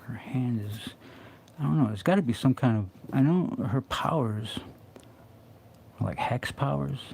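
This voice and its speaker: Against noticeable background noise, a man with a medium-pitched voice mumbles at a fairly slow pace, his intonation lively and his pauses long and frequent. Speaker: comic artist streaming live drawing. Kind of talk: casual live-stream commentary while drawing. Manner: mumbling to himself; halting, many fillers.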